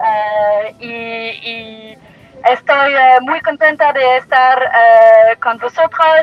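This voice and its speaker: A woman with a non-native accent speaks at a very slow pace and high pitch, with ordinary pitch variation. Her loudness swings widely, and music plays in the background. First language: not Spanish (speaking Spanish). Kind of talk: solidarity greeting. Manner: halting.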